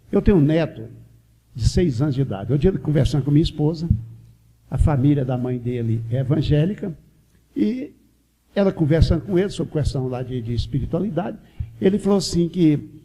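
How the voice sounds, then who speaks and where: A man with a fairly high pitch and a dark, mellow, somewhat breathy tone uses lively intonation at a fairly quick pace, with long, frequent pauses. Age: 60s. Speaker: spiritist lecturer. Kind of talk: religious lecture.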